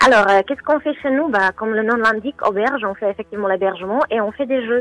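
A woman talks at a fairly quick pace, her fairly high pitch moving with ordinary variation, in a dry, close sound with no echo. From Czech Republic. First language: Czech (speaking French). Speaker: hotel manager. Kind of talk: radio interview.

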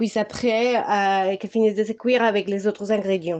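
A woman with a Spanish accent talks at a fairly quick pace. Her medium pitch stays monotone and flat. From Colombia. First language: Spanish (speaking French). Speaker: home cook, mother. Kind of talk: casual cooking chat.

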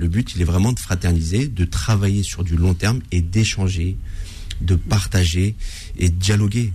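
Very deep and low in pitch, a man speaks at a fairly slow pace with fairly even intonation and very even loudness. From France, Paris suburbs (Seine-et-Marne). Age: 40s. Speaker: mosque association president. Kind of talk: radio interview. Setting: radio studio.

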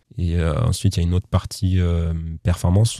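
A man's very deep, low voice, dark and mellow in tone, somewhat breathy, with fairly even intonation. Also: dry, close sound with no echo. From western France, Nantes area. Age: 20s. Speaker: para-badminton player. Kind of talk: interview. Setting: studio.

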